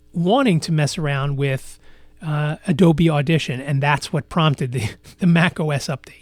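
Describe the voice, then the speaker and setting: Over a very clean recording with a silent background, a man with a fairly high pitch speaks at a moderate pace with fairly even intonation. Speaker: podcast host. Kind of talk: casual solo podcast monologue. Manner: frequent fillers and repetitions; halting, self-correcting.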